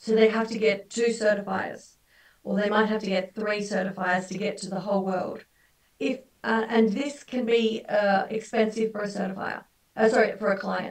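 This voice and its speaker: A woman with an Australian accent talks at a fairly high pitch in a monotone, flat intonation against a quiet background. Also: moderate pace. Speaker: halal certification expert; guest lecturer. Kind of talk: webinar lecture. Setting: video call. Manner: conversational, many fillers. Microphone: video call.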